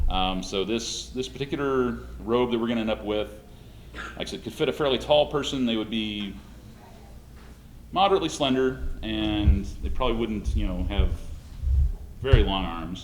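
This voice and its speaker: A man talks at a moderate pace with long, frequent pauses, noticeable background noise running behind him. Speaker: costume maker demonstrating a build. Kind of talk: workshop demonstration.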